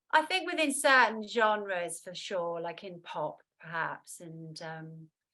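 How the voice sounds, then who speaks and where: A woman at a medium pitch and a very slow pace, with very wide pitch swings and big swings in loudness. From London, England. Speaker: singer-songwriter. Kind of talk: interview.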